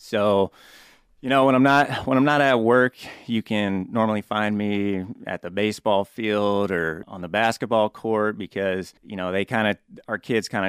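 Moderate pace and ordinary pitch variation, with a Midwestern US accent. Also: man. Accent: US Midwest. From Topeka, Kansas. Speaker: mortgage loan officer. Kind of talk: casual interview. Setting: studio.

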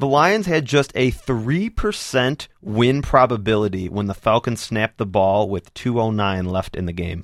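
A man with a normal speaking voice talks at a moderate pace and medium pitch, his intonation lively and his speech hardly pausing, on a very clean recording with a silent background. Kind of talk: casual sports show chat.

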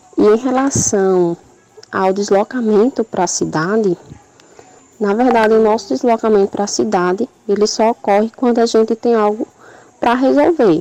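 Over noticeable background noise, a woman speaks at a medium pitch and a fairly slow pace with ordinary pitch variation, in a dry, close sound with no echo. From Brazil, Paraíba (João Pessoa). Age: 20s. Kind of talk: recorded testimony.

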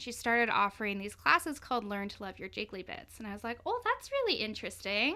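A woman talks at a very fast pace with hardly any pauses, lively intonation and big swings in loudness. Noticeable background noise is present. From Canada, Victoria BC. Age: 20s. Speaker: community prevention officer and burlesque performer. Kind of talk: interview.

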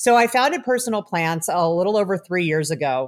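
A woman with an American accent speaks at a moderate pace and medium pitch with lively intonation. She has a plain, everyday voice, and the recording is very clean with a silent background. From Chicago area, US Midwest. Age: 40s. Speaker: cannabis researcher and professor. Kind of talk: interview.

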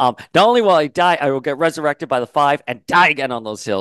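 Against a quiet background, a man talks at a fairly quick pace with lively intonation, the sound dry and close with no echo. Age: 40s. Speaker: pop culture podcast host. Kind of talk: solo commentary. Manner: animated.

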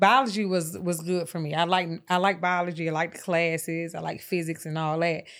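A woman with a normal speaking voice, fairly low in pitch, at a fairly quick pace with hardly any pauses and fairly even intonation, very clean recording with a silent background. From Atlanta, US South. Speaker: lash and brow expert, beauty entrepreneur. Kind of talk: casual interview.

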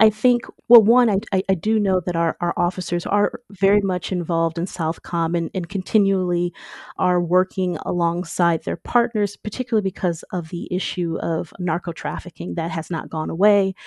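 With an American accent, a woman speaks at medium pitch and a moderate pace. The intonation is fairly even, and the sound is dry and close with no echo. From US Midwest (Michigan). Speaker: history professor. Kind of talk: interview. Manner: frequent filler words (um).

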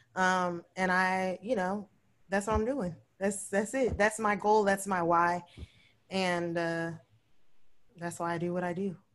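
A woman speaks with long, frequent pauses. Her medium-pitched voice keeps a fairly even intonation. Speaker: plant business owner. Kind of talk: casual chat. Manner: casual, same style everywhere.

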